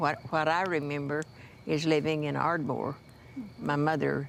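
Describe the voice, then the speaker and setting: Her very deep, low pitch carries vocal fry, and this woman has an American accent. She talks at a fairly slow pace. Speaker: Chickasaw elder telling life memories. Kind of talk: interview answer, recalling childhood memories.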